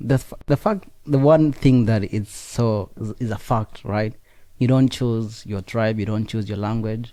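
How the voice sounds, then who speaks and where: A man talks at a fairly slow pace and a medium pitch, with a dark, mellow tone. He speaks in a strong Kenyan accent. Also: fairly even intonation. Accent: heavy Kenyan. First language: Nandi. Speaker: student. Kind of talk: interview.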